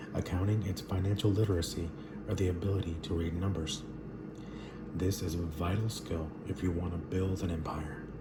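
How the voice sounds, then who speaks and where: A soft-spoken man talks at a moderate pace in a very deep, low pitch with monotone, flat intonation. Noticeable background noise runs underneath. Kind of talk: book reading aloud.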